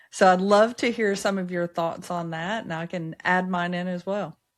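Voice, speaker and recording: In a very clean recording with a silent background, a woman with a strong Southern US accent speaks at a medium pitch and moderate pace with fairly even intonation. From US South, Appalachia, Upper East Tennessee. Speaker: podcast host, entrepreneur. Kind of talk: interview conversation.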